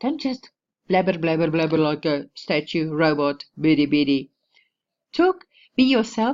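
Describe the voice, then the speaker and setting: Delivered at a fairly slow pace in a South African accent, the speech has long, frequent pauses. The intonation is lively. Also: woman, very deep, low pitch for a woman. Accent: Afrikaans South African English. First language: Afrikaans. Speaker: online marketing vlogger. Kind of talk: casual tutorial vlog. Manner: informal, with many restarts and fillers.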